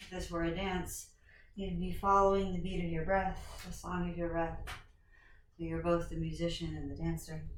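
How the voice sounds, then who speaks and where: A woman amid noticeable background noise and audible room echo. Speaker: yoga teacher. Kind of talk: guided yoga class. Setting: home recording. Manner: projecting loudly.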